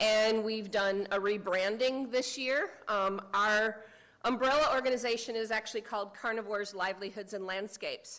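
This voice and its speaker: In a Midwestern American accent, the voice has a bright, sharp tone, a moderate pace, and fairly even intonation. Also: woman, fairly high pitch for a woman. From US Midwest, Michigan. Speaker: cheetah conservationist. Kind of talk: conference presentation. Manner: quiet.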